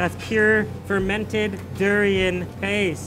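The background noise is noticeable. Over it, a man talks. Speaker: food travel vlogger. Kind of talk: casual vlog commentary. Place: kitchen.

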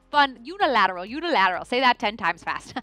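High-pitched woman's voice, bright and sharp in tone, with very wide pitch swings and a dry sound with no echo. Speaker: fitness trainer. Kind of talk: exercise class instruction. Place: studio. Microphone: headset.

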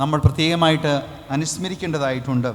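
A man talks in a fairly high pitch with ordinary pitch variation. Noticeable background noise can be heard. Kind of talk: homily.

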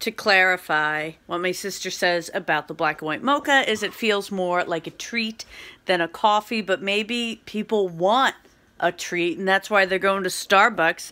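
The tone is bright and sharp, with ordinary pitch variation. The pace is fairly slow. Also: woman. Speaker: vlogger. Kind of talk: casual vlog chat. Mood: cheerful, laughing. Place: kitchen. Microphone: phone near.

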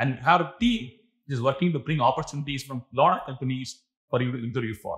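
A man talks at a fairly quick pace with medium pitch. His voice has ordinary pitch variation and a slightly husky edge.

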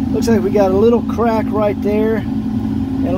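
A man speaks in a dry, echo-free voice while heavy noise fills the background. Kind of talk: casual walkthrough commentary. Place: garage. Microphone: phone near.

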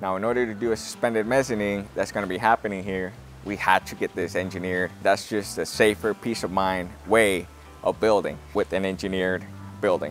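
Faint music plays behind a man who talks at a fairly quick pace with fairly even intonation, in a dry sound with no echo. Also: fairly low pitch for a man. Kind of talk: casual explanatory walkthrough. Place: open country. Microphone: lapel.

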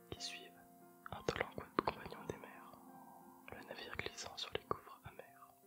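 A man whispering at a fairly slow pace, with clear music in the background. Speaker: ASMR creator. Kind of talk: poetry reading. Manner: whispered, soft, slow. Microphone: earbuds.

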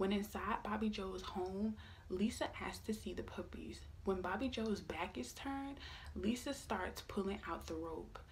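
Speaking at a moderate pace, a woman uses a medium pitch with vocal fry. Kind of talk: true-crime narration read aloud from a script, ASMR style. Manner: a little awkward and apologetic, reading from a script.

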